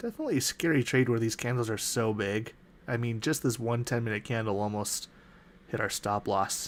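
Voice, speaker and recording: With an American accent, the speaker talks at a fairly quick pace and with fairly even intonation on a very clean recording with a silent background. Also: man, medium pitch for a man. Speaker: day trader. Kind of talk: live trading walkthrough.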